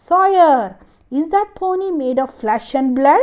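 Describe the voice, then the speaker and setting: Using a put-on character voice, a woman speaks in a stern tone at a high pitch and a fairly slow pace, with very wide pitch swings. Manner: stern, fierce.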